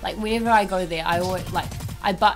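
A woman speaks with music in the background. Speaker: gaming video creator. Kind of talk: casual gameplay commentary.

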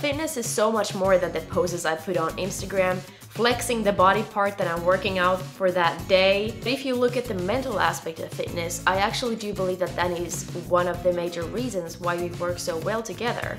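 Clear music plays behind a woman who talks fairly quickly with hardly any pauses and ordinary pitch variation. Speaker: lifestyle vlogger. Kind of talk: casual vlog chat. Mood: playful, expressive. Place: home room.

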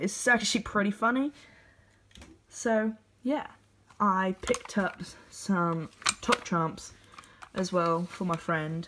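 This woman has a British accent, a medium pitch and ordinary variation in her pitch. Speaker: YouTuber. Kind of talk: casual vlog show-and-tell. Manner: casual with many fillers.

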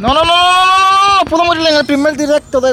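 Over light background noise, a man speaks in a raised, projected voice with an animated tone at a moderate pace, the sound dry with no echo. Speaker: gaming streamer. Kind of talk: live gameplay commentary. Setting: live stream. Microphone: phone near.

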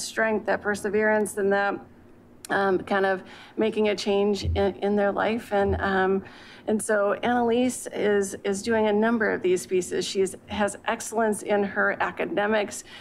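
A woman with an American accent speaks in an ordinary speaking voice at a fairly high pitch and a moderate pace, her intonation fairly even and her loudness very even, with light background noise. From US Pacific Northwest. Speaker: high school principal. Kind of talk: report to city council. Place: hall. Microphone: podium.

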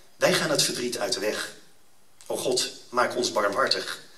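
A man's fairly slow speech in audible room echo. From Netherlands. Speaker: event speaker. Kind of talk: fervent prayer, read aloud solemnly before an audience; public address to an audience, promotional speech. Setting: live event in front of an audience. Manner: earnest, solemn, slow and devout; warm, grateful, persuasive. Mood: earnest, warm appeal. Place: hall. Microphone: camera far.

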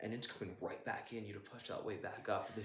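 Audible room echo colors this recording of a man. His voice is fairly low in pitch and somewhat breathy. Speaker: fitness vlogger. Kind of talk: casual vlog chat. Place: gym.

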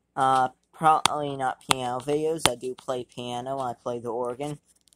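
A man speaks fairly slowly in a monotone, flat intonation. There is light background noise. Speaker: YouTuber showing lawn and garden equipment. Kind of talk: casual channel intro monologue. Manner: hesitant, many fillers; firm, louder here than when outdoors. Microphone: phone near.

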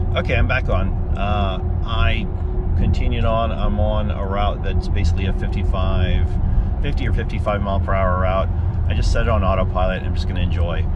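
A man speaks at a moderate pace over loud background noise. The sound itself is dry with no echo. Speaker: car owner reviewing his car. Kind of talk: casual vlog chat. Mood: enthusiastic, relaxed. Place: car. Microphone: phone near.

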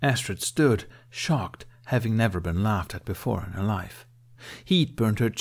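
A natural reading voice delivers the text.

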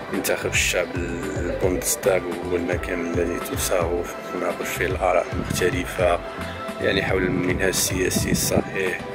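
Loud music plays in the background while a man speaks at a moderate pace. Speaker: travel vlogger. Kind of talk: casual vlog chat. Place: street. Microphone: phone near.

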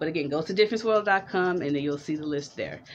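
A woman with an American accent over light background noise. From Houston, Texas (Fifth Ward). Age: 30s. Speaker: vlogger and entrepreneur. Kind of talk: casual vlog monologue. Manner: halting, many fillers. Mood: warm, reflective, smiling. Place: home room. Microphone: webcam.

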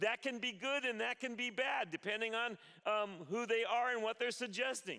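A man's raised, projected voice with a bright, sharp tone, ordinary pitch variation and a moderate pace, over a quiet background. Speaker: pastor. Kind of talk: sermon. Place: church. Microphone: headset.

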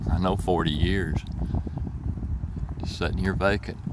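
There is noticeable background noise as a man talks. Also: dry sound with no echo. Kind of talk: casual vlog commentary. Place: open country. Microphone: phone near.

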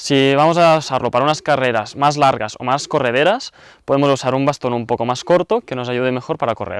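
A man speaks at a fairly quick pace with ordinary pitch variation. The sound is dry with no echo, and the background is quiet. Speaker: trail running coach. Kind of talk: tutorial. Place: forest. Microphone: lapel.

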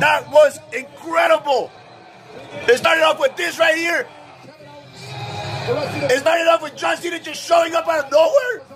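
Shouting from a man at an extremely high pitch, energetic in tone with lively intonation, at a moderate pace with long, frequent pauses and big swings in loudness, over music in the background. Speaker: wrestling and boxing commentator. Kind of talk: casual talk to camera. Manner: loud, energetic.

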